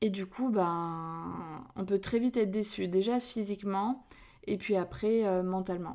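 A woman's dark, mellow tone at a moderate pace with fairly even intonation. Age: 30s. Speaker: podcast host and relationship coach. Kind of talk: casual solo podcast talk.

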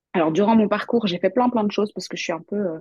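The woman's voice has a dark, mellow tone. Her sound is dry and close, without any echo. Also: quiet background. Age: 30s. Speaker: tarot content creator and former fashion designer. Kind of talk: interview.

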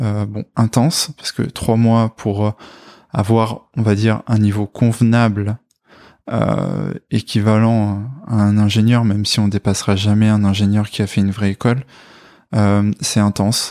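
A man speaks at a fairly slow pace in a fairly low pitch, with a dark, mellow tone and monotone, flat intonation. The sound is dry and close with no echo, and the recording is very clean with a silent background. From France, Corrèze (Brive-la-Gaillarde). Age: 20s. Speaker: software developer, former biology student. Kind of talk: testimony interview. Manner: hesitant, many fillers.

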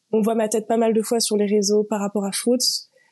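This woman speaks at a fairly quick pace in a fairly high pitch, her dark, mellow tone held to a monotone, flat intonation. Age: 20s. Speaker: UGC content creator. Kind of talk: casual interview.

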